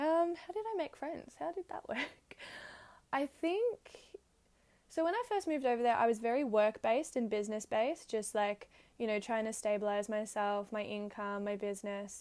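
Her pitch fairly high, a woman with an Australian accent talks at a moderate pace using lively intonation. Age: 20s. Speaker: podcast host. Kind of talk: casual monologue. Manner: animated.

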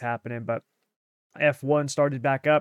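In a normal speaking voice, a man talks at a moderate pace and a fairly high pitch with fairly even intonation, with a dry, close sound and no echo. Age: 30s. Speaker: racing podcast host. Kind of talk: casual chat.

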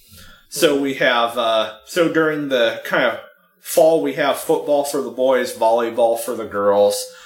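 Fairly slow speech in an American accent, with big swings in loudness, ordinary pitch variation and music in the background. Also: man, medium pitch for a man. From San Francisco, US. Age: 20s. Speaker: podcast guest. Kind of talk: casual chat.

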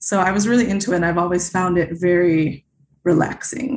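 Talking at a fairly quick clip, a woman with an American accent has a fairly low, somewhat breathy voice and ordinary pitch variation. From Chicago suburbs, Illinois. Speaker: cross-stitch designer and author. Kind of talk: interview.

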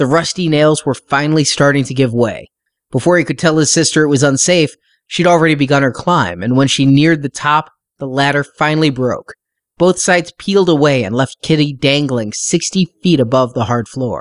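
A man with a plain, everyday voice, fairly high in pitch, with ordinary pitch variation, a dry, close sound with no echo and a quiet background. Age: 40s. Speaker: podcast host and book reviewer. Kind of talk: book review.

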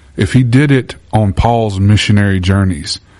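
A man speaks at a moderate pace with a Southern US accent. His animated voice sits fairly low in pitch. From Louisiana. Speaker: podcast host and church minister. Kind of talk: faith-based interview. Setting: church. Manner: animated, preachy.

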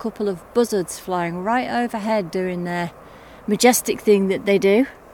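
At a moderate pace, a woman speaks in a normal speaking voice. Her medium pitch shows ordinary pitch variation. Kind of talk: casual chat. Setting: outdoors, walking on mountain paths.

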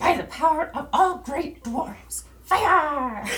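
This is a put-on character voice pitched high. It moves at a fairly slow pace. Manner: bold, proclaiming a spell.

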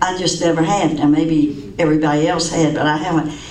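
With an American accent and ordinary pitch variation, this voice comes through over noticeable background noise. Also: woman. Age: 80s+. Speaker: class member giving devotional. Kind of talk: casual announcements and devotional reading. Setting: church classroom with group.

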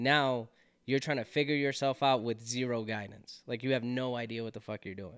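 A man speaks in a normal speaking voice at a moderate pace and medium pitch. His intonation is fairly even, and the recording is very clean, with a silent background. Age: 20s. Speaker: retiring soldier. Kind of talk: casual chat.

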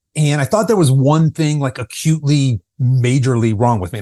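Somewhat breathy and dark, mellow in tone, a man at a medium pitch talks at a fairly quick pace with lively intonation, the sound dry and close with no echo. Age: 50s. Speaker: fitness coach for people over fifty. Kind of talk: podcast interview.

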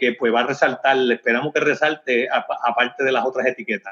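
The speaker is a man. He keeps to a moderate speed. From Puerto Rico, Comerío. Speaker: distillery owner. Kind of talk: interview. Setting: phone call. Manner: halting, many repeated words.

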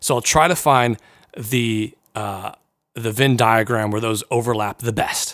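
A plain, everyday voice speaks at a fairly slow pace with fairly even intonation, captured on a very clean recording with a silent background. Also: man, medium pitch for a man. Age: 30s. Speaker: podcast host and counselor. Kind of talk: Bible teaching podcast. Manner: casual, conversational with fillers.

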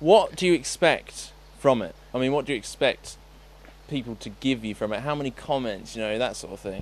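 The voice carries vocal fry. Its loudness swings widely. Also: man, medium pitch for a man, lively intonation, fairly quick pace. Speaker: podcast host. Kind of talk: casual chat.

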